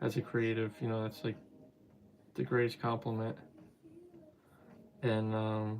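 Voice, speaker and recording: A man with a New Jersey accent speaks at a fairly slow pace, with long, frequent pauses. His medium-pitched voice stays monotone and flat. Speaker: toy customizer and live streamer. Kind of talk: casual live stream chat. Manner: casual, halting with fillers.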